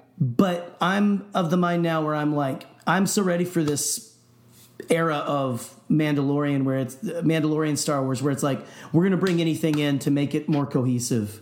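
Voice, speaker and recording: The speaker keeps a moderate pace and ordinary pitch variation while noticeable background noise carries on. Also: man, fairly high pitch for a man. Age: 30s. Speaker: podcast co-host. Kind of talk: casual chat. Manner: animated.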